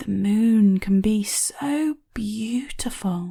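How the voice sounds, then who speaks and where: A female-sounding put-on character voice, fairly high in pitch and gentle in tone, at a very slow pace. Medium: read story. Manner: soft, gentle.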